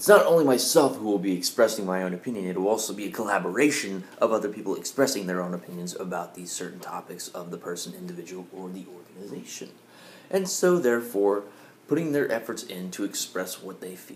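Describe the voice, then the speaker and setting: Talking very fast, a man with a fairly low voice uses lively intonation and big shifts in loudness. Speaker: vlogger. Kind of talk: casual vlog chat. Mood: opinionated, mildly confrontational. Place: home room. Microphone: webcam.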